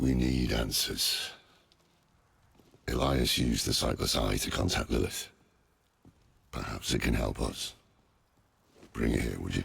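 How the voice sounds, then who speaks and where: Using a put-on character voice, a man with a very deep, low pitch speaks at a moderate pace, leaving long, frequent pauses. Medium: video game. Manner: gruff, world-weary.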